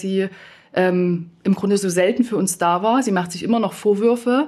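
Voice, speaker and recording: With a plain, everyday voice, a woman speaks at medium pitch with fairly even intonation. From eastern Germany. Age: 30s. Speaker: former nurse turned coach and consultant. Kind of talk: panel debate.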